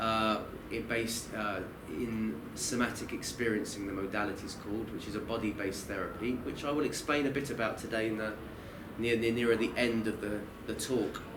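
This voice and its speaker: A man with a Kent accent talks at a fairly quick pace and medium pitch with fairly even intonation, amid noticeable background noise and audible room echo. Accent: Kent, southern English. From southern England, Kent (Maidstone). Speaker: Islamic studies teacher and counsellor. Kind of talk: lecture. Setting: university talk with audience. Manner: halting, with many false starts.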